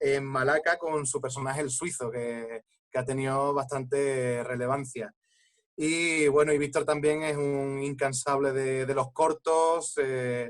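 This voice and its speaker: A man with a fairly high pitch speaks fairly slowly in a monotone, flat intonation. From Andalusia, Coín (Málaga). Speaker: actor. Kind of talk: panel discussion. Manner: halting.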